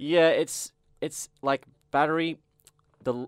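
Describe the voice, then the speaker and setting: A man speaks with an Australian accent. The sound is dry and close with no echo, and the recording is very clean with a silent background. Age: 20s. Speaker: metal bassist. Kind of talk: casual chat. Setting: studio.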